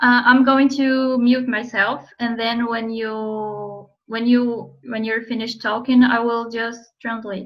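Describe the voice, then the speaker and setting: A woman with a Portuguese accent speaks at a very slow pace, fairly high in pitch, in a monotone, flat intonation with hardly any pauses. Audible room echo surrounds her voice. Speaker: interviewer and interpreter. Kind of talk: casual interview.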